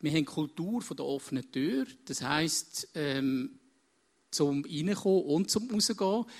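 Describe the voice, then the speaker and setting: Against a very clean recording with a silent background, a man speaks at a very slow pace with a fairly high pitch and very wide pitch swings. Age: 50s. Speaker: counselor and business consultant. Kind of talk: onstage interview.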